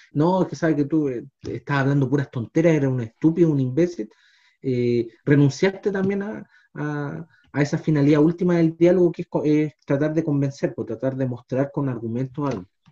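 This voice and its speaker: The man's dark, mellow tone sits at a fairly high pitch, moving at a moderate pace with ordinary pitch variation. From Chile, Los Andes. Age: 30s. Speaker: history teacher, podcast co-host. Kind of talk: casual discussion. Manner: hesitant, many fillers.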